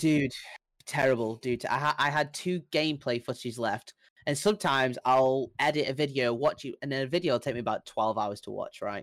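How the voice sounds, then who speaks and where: Recorded dry and close with no echo, a man speaks at a fairly quick pace. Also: ordinary pitch variation. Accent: British. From England. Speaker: airsoft player and YouTuber. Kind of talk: casual chat. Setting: video call.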